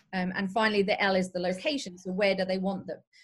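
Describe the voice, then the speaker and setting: A somewhat breathy woman's voice, medium in pitch, with fairly even intonation. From England (Derby). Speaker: social selling strategist. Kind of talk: interview.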